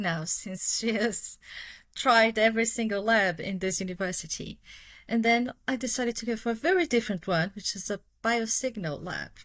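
A woman speaks with a Brazilian accent at a fairly high pitch. The recording is very clean, with a silent background. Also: ordinary pitch variation, moderate pace. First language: Portuguese. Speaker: cognitive neuroscientist. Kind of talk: interview.

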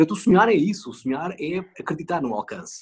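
A man speaks at a moderate pace. His voice sits fairly high in pitch. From rural northern Portugal. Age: 40s. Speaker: TV news anchor. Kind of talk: interview. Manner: halting.

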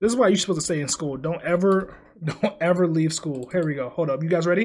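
A man speaks loudly in a high pitch with ordinary pitch variation. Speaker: podcast co-host and video creator. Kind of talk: casual chat. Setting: home recording at night. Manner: loud, energetic; held back to avoid waking housemates.

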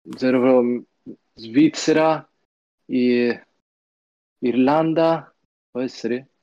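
The speech is very slow, with long, frequent pauses and fairly even intonation. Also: man, medium pitch for a man. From Florence, Italy. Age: young. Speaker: esports player. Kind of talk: casual live-stream chat.

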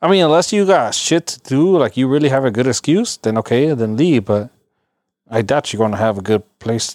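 Lively intonation marks a man with an ordinary speaking voice and a medium pitch, speaking at a fairly quick pace. The recording is very clean, silent in the background, and dry and close with no echo. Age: 30s. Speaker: podcast host. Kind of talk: casual chat.

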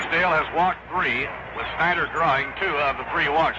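Noticeable background noise sits behind a man speaking at a moderate pace in a high voice. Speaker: radio baseball play-by-play announcer. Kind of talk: live radio baseball play-by-play, calling pitches and plays between scores and stats. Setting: radio broadcast booth at the ballpark. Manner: courteous, old-school broadcast politeness.

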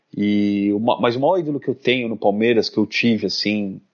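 Pitched in the medium range, a man speaks in a plain, everyday voice with ordinary pitch variation. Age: 30s. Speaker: football club councillor. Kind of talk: casual chat.

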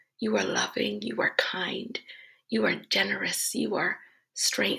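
Someone is whispering. The pace is very slow. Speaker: devotional speaker. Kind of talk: fervent prayer, addressing God directly, after a short devotional. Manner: earnest, reverent, slow, heartfelt and rhythmic; repetitive and building, with worshipful praise.

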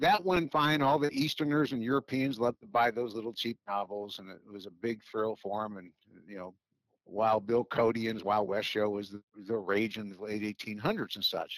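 A man's medium-pitched voice, an ordinary speaking voice, in an American accent at a moderate pace, with lively intonation and big swings in loudness, in a dry, close sound with no echo and a very clean recording, silent background. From Chicago, US Midwest. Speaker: fast draw association director. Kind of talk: interview.

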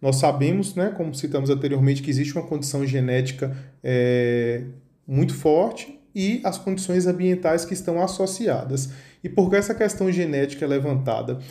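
With audible room echo, a dark, mellow, somewhat breathy voice moves at a moderate pace with ordinary pitch variation. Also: man, fairly high pitch for a man. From Bahia, Brazil. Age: 30s. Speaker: neurologist. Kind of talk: podcast interview, explanatory.

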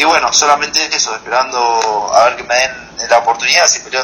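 Noticeable background noise sits under a man speaking at a medium pitch with ordinary pitch variation. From Argentina. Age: 20s. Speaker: professional MMA fighter. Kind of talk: interview.

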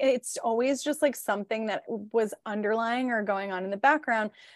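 A woman speaks in an animated tone, the sound dry and close with no echo. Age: 30s. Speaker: podcast co-host, PR business owner. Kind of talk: casual chat.

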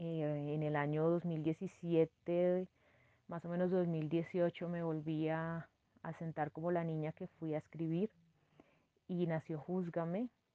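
A woman speaks very slowly at a fairly low pitch, her intonation monotone and flat. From Colombia, Cundinamarca near Bogotá. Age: 30s. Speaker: lawyer and writer. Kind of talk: interview.

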